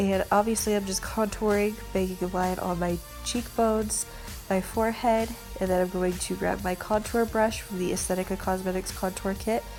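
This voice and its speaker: Over music in the background, a woman with an American accent speaks at a moderate pace in a flat, monotone delivery at medium pitch. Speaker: makeup artist. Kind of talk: makeup tutorial talk to camera. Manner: casual, chatty.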